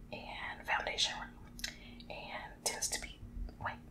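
At a fairly slow pace, a woman whispers her words. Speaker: ASMR creator. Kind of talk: ASMR whispered reading and casual talk to camera. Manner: whispering, soft-spoken. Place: home room. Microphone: studio mic.

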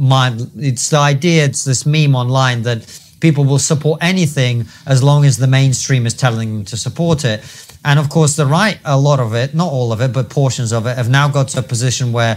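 The man's voice is somewhat breathy, with ordinary pitch variation. He speaks at a moderate pace. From UK. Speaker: podcast host. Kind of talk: interview. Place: studio. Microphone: lapel.

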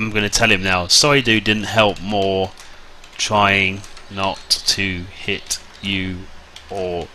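Long, frequent pauses fill a man's very slow speech, and background noise is noticeable. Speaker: gaming video creator. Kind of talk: gameplay commentary. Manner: casual, rambling with repeated words.

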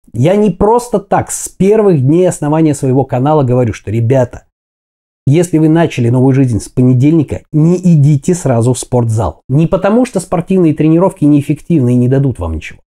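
The man talks at a fairly quick pace in a dark, mellow tone. His pitch is fairly high, and the background is quiet. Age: 40s. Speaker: fitness video blogger; fitness vlogger. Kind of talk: motivational talk to camera. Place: kitchen. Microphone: lapel.

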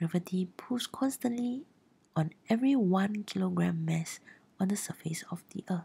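A somewhat breathy woman at a moderate pace, with ordinary pitch variation. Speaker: science tutor. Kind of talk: educational explainer narration.

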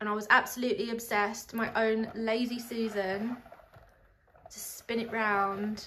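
A woman's fairly slow speech in monotone, flat intonation, over light background noise. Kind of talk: casual vlog chat. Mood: cheerful, chatty. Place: home room. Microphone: phone near.

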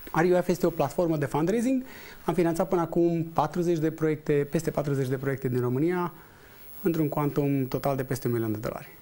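A man's dark, mellow voice, fairly high in pitch, with ordinary pitch variation and a moderate pace. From Romania. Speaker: entrepreneur and investor; guest. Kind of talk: TV interview. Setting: studio. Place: studio. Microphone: lapel.

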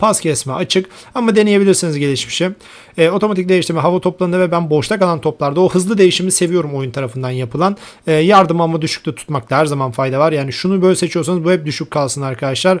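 This man talks at a very fast pace with a high pitch. His pitch variation is ordinary. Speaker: gaming YouTuber. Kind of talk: tutorial.

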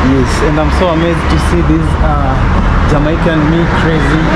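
Loud background noise and a moderate pace. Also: man. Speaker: travel vlogger. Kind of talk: casual vlog chat. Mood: amazed, upbeat. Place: street. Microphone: phone near.

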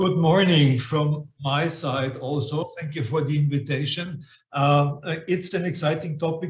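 Somewhat breathy and at a fairly slow pace, a man speaks with audible room echo. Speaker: remote guest. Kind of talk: conference talk. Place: home room. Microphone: video call.

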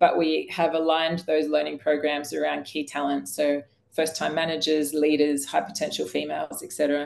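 This woman has a very deep, low pitch with ordinary pitch variation and keeps a moderate pace. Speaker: coaching company founder and chief executive. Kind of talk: webinar discussion. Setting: video call. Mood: upbeat, promotional. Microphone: video call.

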